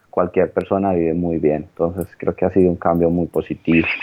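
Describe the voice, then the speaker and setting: In a flat, monotone intonation, the man talks with a very deep, low pitch. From Colombia. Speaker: economist studying English abroad. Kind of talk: interview. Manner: halting, many fillers and repetitions.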